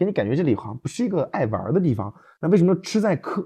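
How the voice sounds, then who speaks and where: Against a quiet background, a man with a dark, mellow tone talks very fast, using very wide pitch swings. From rural Anhui, China. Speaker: podcast co-host. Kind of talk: casual chat.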